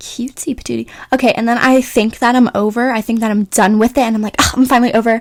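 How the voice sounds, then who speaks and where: A woman speaks very fast at a fairly high pitch, her intonation monotone and flat. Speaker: beauty vlogger. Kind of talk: tutorial voiceover. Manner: casual, filler-heavy.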